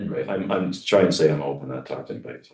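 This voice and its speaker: A man with a very deep, low pitch and vocal fry. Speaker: city manager. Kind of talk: committee meeting presentation. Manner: fast.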